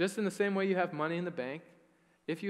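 Nothing much stirs in the background. Pitch moves in an ordinary way. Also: man. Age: 20s. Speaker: pastor. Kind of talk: sermon. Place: church. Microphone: headset.

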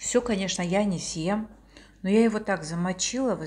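A woman talks at a moderate pace with fairly even intonation. Her voice is somewhat breathy. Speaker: vlogger. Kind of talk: casual vlog chat. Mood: warm, cheerful. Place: home room. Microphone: phone near.

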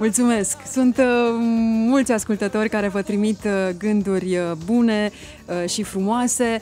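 A woman talks at a fairly slow pace. The sound is dry with no echo, with light background noise. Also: fairly even intonation. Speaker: radio host. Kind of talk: radio interview. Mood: warm, respectful. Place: studio. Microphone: studio mic.

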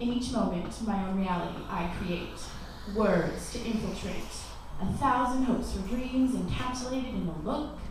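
A woman's fairly high voice at a moderate pace with ordinary pitch variation, strong room echo and noticeable background noise. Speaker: spoken word poet. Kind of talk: spoken word poetry performance. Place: cafe.

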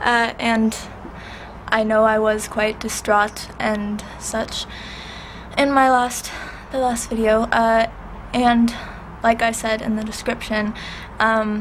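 The speech comes at a very slow pace, broken by long, frequent pauses, with a monotone, flat intonation. Light background noise sits behind it. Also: woman. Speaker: vlogger. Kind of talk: casual talk to camera. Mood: subdued, grateful. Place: home room. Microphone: webcam.

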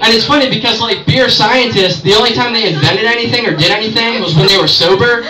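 Over noticeable background noise, a man with a high pitch speaks very fast in a raised, projected voice, with hardly any pauses, ordinary pitch variation and very even loudness. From Maryland, Baltimore area. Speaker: stand-up comedian. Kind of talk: raunchy open-mic stand-up set riffing on holidays, TV and local towns. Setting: bar stage with live audience. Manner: rambling, self-interrupting, with frequent fillers and repeated words; crude, exasperated storytelling with mock-outraged punchlines. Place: bar. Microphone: camera far.

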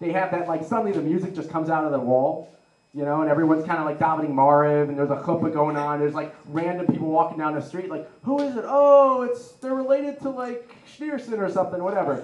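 A man with a high pitch talks at a very fast pace with lively intonation, and audible room echo can be heard. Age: 20s. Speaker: comedian. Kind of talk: stand-up. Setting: stage with audience. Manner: animated. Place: hall. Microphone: handheld.

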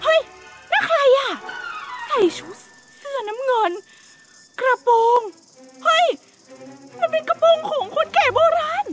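A woman's voice, dry with no echo, against loud music in the background. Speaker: video creator. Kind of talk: comedic skit and vlog talk. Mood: playful fright in skit. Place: open country.

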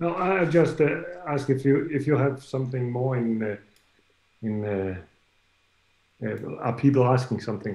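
A man's voice in a Danish accent at a moderate pace, with ordinary pitch variation, long, frequent pauses and audible room echo. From Denmark. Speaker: festival organizer. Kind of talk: welcome address. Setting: video call. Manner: halting. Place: home room. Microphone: video call.

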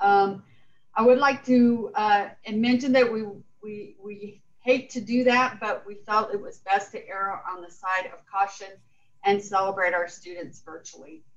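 Her loudness swings widely as a woman speaks at a fairly slow pace with ordinary pitch variation. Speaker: college president. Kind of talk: formal meeting. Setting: video call. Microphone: video call.

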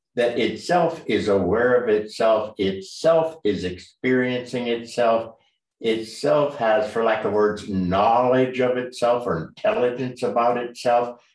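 There is audible room echo, but the background is quiet. A man speaks at a fairly slow pace with ordinary pitch variation. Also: very even loudness. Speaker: martial arts teacher. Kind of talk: lecture. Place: home room. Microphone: video call.

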